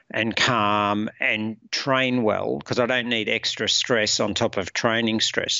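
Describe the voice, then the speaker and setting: A fairly low-pitched man in an Australian accent, at a fairly slow pace with fairly even intonation. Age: 50s. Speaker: productivity coach, former military. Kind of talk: casual interview. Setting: podcast recording.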